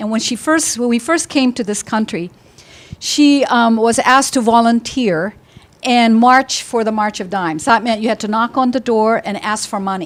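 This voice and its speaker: A woman talks in a plain, everyday voice at a fairly high pitch. Her pace is moderate, with ordinary pitch variation. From Philippines, raised in US from childhood. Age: 60s. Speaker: company founder and CEO. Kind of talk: personal story at panel talk.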